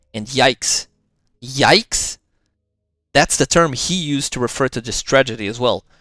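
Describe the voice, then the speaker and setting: A man with a non-native accent talks at a fairly slow pace in a medium pitch, his intonation lively. The sound is dry and close with no echo, and music plays in the background. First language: not English. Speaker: commentary youtuber. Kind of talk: reaction commentary.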